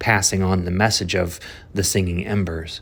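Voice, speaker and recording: A man speaks with a very deep, low pitch and a somewhat breathy sound. The recording is very clean, with a silent background. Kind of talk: spoken word poetry reading and analysis.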